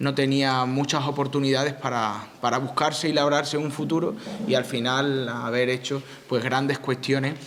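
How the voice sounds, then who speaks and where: Noticeable background noise and audible room echo accompany a man's voice. He speaks at a moderate pace with a medium pitch and fairly even intonation. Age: young. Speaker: town mayor. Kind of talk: opening speech at a public event. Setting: conference hall with audience. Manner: halting, many repetitions.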